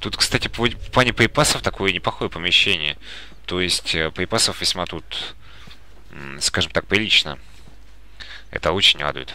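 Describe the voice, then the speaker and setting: A man with a very deep, low pitch and vocal fry speaks at a moderate pace in a calm, bright, sharp tone. His intonation is lively, broken by long, frequent pauses. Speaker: gaming YouTuber. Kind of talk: let's play commentary. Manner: calm, subdued commentary.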